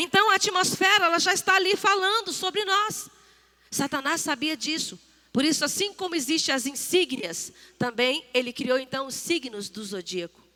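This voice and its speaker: A woman with an extremely high pitch projects a raised voice at a moderate pace, her pitch swinging very widely. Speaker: church speaker. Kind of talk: sermon.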